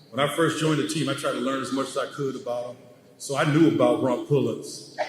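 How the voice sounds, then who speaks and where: Amid noticeable background noise and audible room echo, a man talks at a fairly high pitch. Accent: American. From Chicago, US Midwest. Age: 60s. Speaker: former pro basketball player. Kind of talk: ceremony speech.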